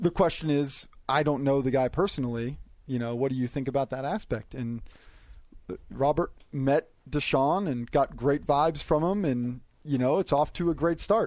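A man speaks at a moderate pace in a fairly high pitch, using an ordinary speaking voice with ordinary pitch variation. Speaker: NFL media columnist. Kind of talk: casual chat. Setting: studio.

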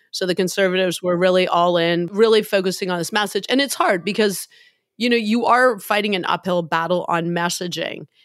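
A woman with a Canadian accent speaks at a fairly quick pace in an animated tone, her medium pitch showing ordinary variation. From Canada, Hamilton, Ontario. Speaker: former climate minister. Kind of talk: interview conversation.

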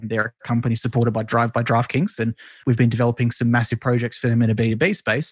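A man's very fast, somewhat breathy voice with an Australian accent, in a dry, close sound with no echo and a quiet background. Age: 20s. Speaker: esports marketing consultant. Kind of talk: interview.

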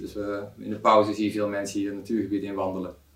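There is audible room echo. A man is talking within it. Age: 40s. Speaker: software product owner. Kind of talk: interview. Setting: office meeting room.

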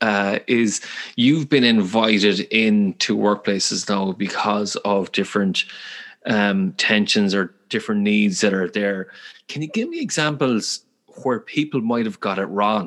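With a Galway accent, a man speaks at a fairly slow pace and fairly low pitch, using ordinary pitch variation. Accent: Irish, Galway. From west of Ireland, Galway. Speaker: podcast host. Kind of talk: interview conversation.

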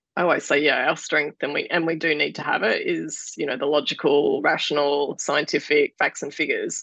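A woman with an Australian accent at a fairly quick pace, with hardly any pauses. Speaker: podcast host and founder of a dietitian network. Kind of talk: interview.

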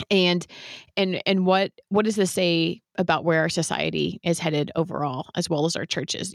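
A woman with an American accent talks at a moderate pace in an unremarkable speaking voice, fairly low in pitch with fairly even intonation, in a dry, close sound with no echo. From US West Coast, San Francisco Bay Area. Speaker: podcast host. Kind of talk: interview conversation.

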